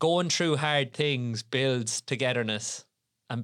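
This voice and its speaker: In an Irish Midlands accent, the voice moves at a very slow pace with fairly even intonation, over a very clean recording with a silent background. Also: man. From Ireland, Tipperary. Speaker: podcast host, strength and conditioning coach. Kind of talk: casual chat.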